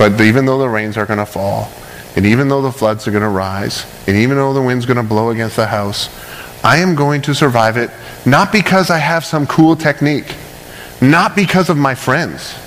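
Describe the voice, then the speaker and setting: Noticeable noise sits behind a man speaking at medium pitch. His intonation is lively. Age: 30s. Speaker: pastor. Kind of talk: sermon. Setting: church. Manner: fast.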